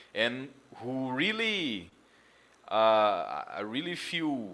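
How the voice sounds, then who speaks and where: This man has a Portuguese accent and a bright, sharp tone. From Brazil. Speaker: football commentator streamer. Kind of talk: live stream monologue. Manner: loud; halting.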